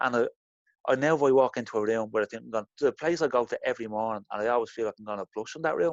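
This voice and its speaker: A man races along at a very fast pace, his medium pitch showing ordinary variation. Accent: Irish. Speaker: interview guest sharing blushing experience. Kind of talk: casual interview.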